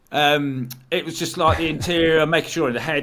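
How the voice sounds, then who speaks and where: A man speaks with a Lincolnshire accent. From Stamford, Lincolnshire, England. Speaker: inventor and YouTuber. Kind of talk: casual chat.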